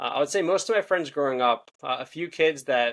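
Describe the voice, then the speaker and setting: Speaking at a fairly quick pace with ordinary pitch variation, a man talks in a Philadelphia accent. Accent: Philadelphia-area American. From US, Philadelphia suburbs. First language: Hebrew and Russian. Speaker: podcast host. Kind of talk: interview. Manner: fast.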